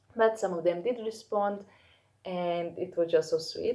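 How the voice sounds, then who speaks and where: She speaks with a non-native accent. Her pace is moderate. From Europe. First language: not English. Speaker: fashion YouTuber. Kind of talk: casual vlog talk to camera. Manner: halting, many fillers.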